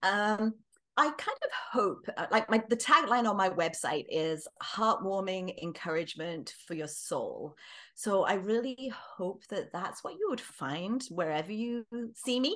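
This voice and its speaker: A woman with an English accent speaks at a fairly slow pace, her fairly high pitch carrying a bright, sharp tone and lively intonation. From England. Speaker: author. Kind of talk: casual interview.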